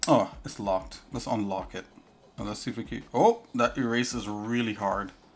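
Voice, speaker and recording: A man speaks at a moderate pace with a fairly low pitch and ordinary pitch variation. His loudness swings widely, and music plays in the background. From Trinidad and Tobago. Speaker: live streamer, 3D artist. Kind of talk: live stream tutorial chat. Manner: casual, halting with fillers.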